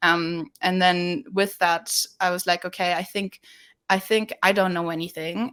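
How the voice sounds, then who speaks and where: A woman's bright, sharp voice in a German accent, with medium pitch, fairly even intonation and a fairly slow pace. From Germany. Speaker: sales development representative. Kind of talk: webinar interview. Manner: casual with many fillers and repetitions.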